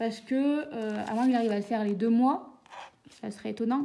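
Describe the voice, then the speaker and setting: The speech moves at a fairly quick pace with ordinary pitch variation, while noticeable background noise runs underneath. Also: woman. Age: 30s. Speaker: budgeting vlogger and teacher. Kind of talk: casual vlog.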